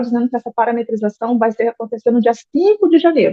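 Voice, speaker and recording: A woman speaks very fast at a fairly high pitch in a Brazilian accent. Her intonation is lively. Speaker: accountant. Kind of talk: lecture.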